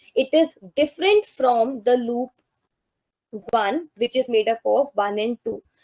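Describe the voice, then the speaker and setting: A woman with an Indian accent speaks at a fairly slow pace in a high voice, with ordinary pitch variation and a dry, close sound with no echo. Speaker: life sciences exam tutor. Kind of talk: lecture.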